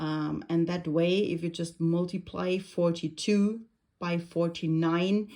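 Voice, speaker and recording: With a non-native accent and fairly even intonation, a woman speaks at a fairly low pitch in a very clean recording with a silent background. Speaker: crafter. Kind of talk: tutorial. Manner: hesitant, many fillers.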